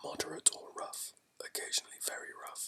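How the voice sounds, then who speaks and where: The voice is whispering. Its tone is soothing. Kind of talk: shipping forecast reading. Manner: whispered, soothing ASMR.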